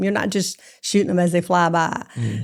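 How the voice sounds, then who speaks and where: With a Southern US accent, a woman talks at a fairly quick pace in lively intonation on a very clean recording with a silent background. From Jackson, Mississippi. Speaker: hunter and fox hunter. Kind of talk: interview answer.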